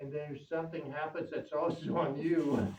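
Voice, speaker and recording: A man's intonation stays fairly even as noticeable background noise carries on around him. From Germany. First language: German. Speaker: radio station volunteer technician. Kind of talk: casual chat.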